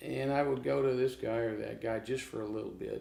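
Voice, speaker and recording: An ordinary speaking voice from a man with an American accent, ordinary pitch variation and a moderate pace. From Oklahoma, US. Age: 60s. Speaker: blues guitarist. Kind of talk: casual interview.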